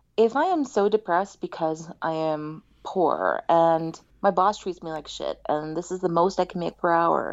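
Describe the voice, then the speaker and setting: A woman speaks at a moderate pace and fairly low pitch with ordinary pitch variation, in an ordinary speaking voice. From US, Indian family. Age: 30s. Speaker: sex therapist. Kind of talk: interview, casual conversation.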